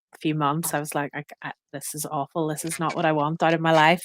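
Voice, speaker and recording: A fairly quick woman's voice in a Northern Irish accent, with a dry, close sound and no echo. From Northern Ireland. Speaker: expat business owner. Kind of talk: podcast interview.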